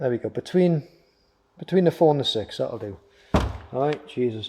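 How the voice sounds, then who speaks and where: A mumbling, somewhat breathy man's voice, fairly high in pitch with a dark, mellow tone, lively intonation, and a moderate pace, on a very clean recording with a silent background. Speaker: motorcycle DIY youtuber. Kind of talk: tutorial.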